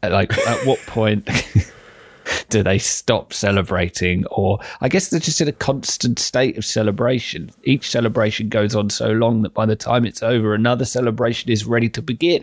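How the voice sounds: A man with fairly low pitch and ordinary pitch variation. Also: moderate pace.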